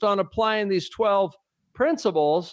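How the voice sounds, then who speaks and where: A man with an American accent speaks at a high pitch with ordinary pitch variation. The sound is dry and close, with no echo. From US West Coast, San Francisco Bay Area. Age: 60s. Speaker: business leader and leadership trainer. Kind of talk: interview conversation.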